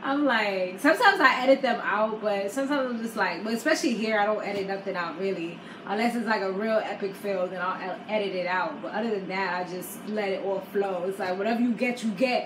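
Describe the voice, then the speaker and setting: A woman's animated voice at medium pitch with ordinary pitch variation, going very fast with hardly any pauses, amid noticeable background noise and audible room echo. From New York. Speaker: YouTuber, reality TV recapper. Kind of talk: casual chat.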